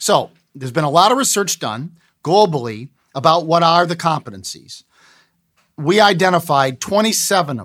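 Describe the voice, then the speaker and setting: Recorded very cleanly against a silent background, a man with an American accent speaks at a moderate pace and high pitch with lively intonation. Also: big swings in loudness. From Cleveland, Ohio, US. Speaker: business professor and textbook author. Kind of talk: interview.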